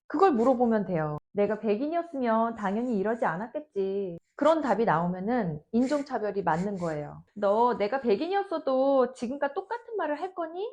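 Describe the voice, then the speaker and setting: Her fairly high voice swings very widely in pitch as this woman talks at a moderate pace. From South Korea. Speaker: professor and YouTuber. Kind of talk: advice vlog talk.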